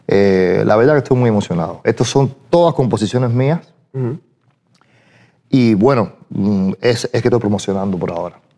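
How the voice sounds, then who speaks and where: Lively intonation from a man with a dark, mellow tone, a moderate pace and long, frequent pauses, over a quiet background. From Cuba, Santiago de Cuba; Cuba. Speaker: singer; guest. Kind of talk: interview. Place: studio.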